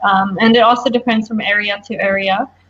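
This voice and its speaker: A woman's somewhat breathy voice with monotone, flat intonation. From mixed: France, Pakistan, Dubai, Japan; South African family. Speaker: language-learning YouTuber and designer. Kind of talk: interview.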